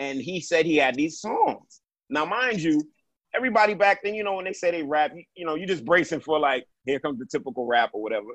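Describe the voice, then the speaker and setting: With a New York accent, a man talks very fast, his pitch swinging very widely. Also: fairly high pitch for a man. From Brooklyn, New York. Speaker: podcast host. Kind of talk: casual chat.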